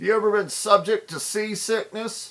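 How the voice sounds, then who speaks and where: A man does a put-on character voice, pitched high. He keeps a moderate pace on a very clean recording with a silent background. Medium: read story.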